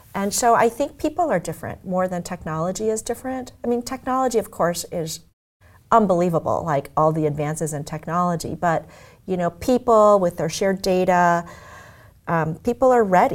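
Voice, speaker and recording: A woman with an ordinary speaking voice and an American accent talks at a medium pitch and fairly quick pace, with lively intonation. The recording is very clean, with a silent background. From US Midwest (Omaha, Nebraska). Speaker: tech executive. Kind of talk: interview.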